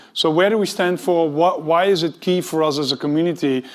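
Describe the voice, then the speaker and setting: A man with a Dutch accent talks at a high pitch. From Netherlands. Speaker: tech executive, conference speaker. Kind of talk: conference talk.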